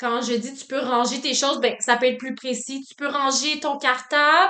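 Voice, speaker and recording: Loud and high-pitched, a woman speaks with fairly even intonation. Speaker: student teacher. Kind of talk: reflective self-assessment monologue. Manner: loud, dynamic; frequent filler words.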